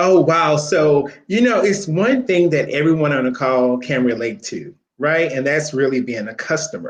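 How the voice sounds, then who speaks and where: A man with an American accent speaks in a fairly high pitch, his intonation lively. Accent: country twang. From Louisiana, US South. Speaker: corporate recruiter, Navy veteran. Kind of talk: webinar interview.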